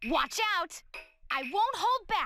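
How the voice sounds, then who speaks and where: The pitch here is extremely high. It is a put-on character voice. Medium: video game. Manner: energetic, shouted.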